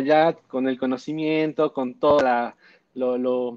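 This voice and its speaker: Fairly slow speech from a man, the sound dry and close with no echo. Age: 30s. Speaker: sex shop business owner. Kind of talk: interview. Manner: halting, repeats words.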